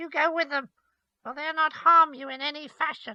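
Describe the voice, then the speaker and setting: Using a put-on character voice, a man pushes his pitch extremely high. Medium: read story. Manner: mocking, menacing.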